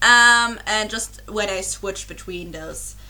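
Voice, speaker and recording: A woman speaks with a German accent. Her voice carries audible room echo. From Germany. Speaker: YouTube reaction creator. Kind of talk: casual vlog chat. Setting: home recording with webcam. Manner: halting, many fillers and restarts.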